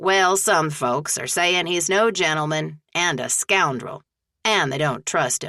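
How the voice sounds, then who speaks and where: Using a put-on character voice, a woman speaks at a fairly slow pace in a fairly low pitch. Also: ordinary pitch variation. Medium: read story. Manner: folksy, hearty.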